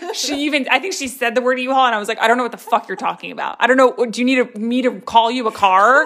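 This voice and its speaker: A high-pitched woman talking at a very fast pace, with noticeable background noise. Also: ordinary pitch variation, hardly any pauses. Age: 20s. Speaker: podcast co-host. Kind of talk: casual chat.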